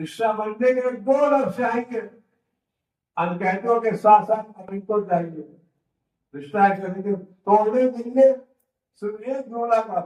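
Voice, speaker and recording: A man's high voice with ordinary pitch variation. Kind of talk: religious sermon (majlis) to a live congregation.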